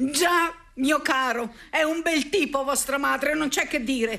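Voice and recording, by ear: Using a put-on character voice, a woman speaks slowly at a high pitch with a bright, sharp tone and ordinary pitch variation.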